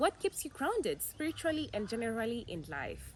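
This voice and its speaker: A woman's voice with vocal fry, very wide pitch swings and a moderate pace. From Kenya, mostly Mombasa. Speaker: YouTuber. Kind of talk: casual Q&A vlog. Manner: animated.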